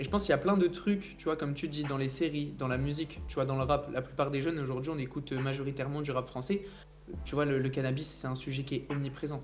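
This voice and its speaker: A man talks at a very fast pace in a fairly high pitch. His intonation stays fairly even, with music in the background. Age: 20s. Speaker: founder of a CBD brand. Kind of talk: casual debate.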